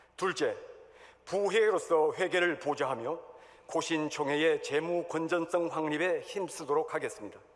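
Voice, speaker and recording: A man with a high pitch talks at a fairly slow pace, his loudness very even and his intonation fairly even. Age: 60s. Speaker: church elder, candidate for denominational office. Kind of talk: election campaign speech. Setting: church hall assembly. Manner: formal.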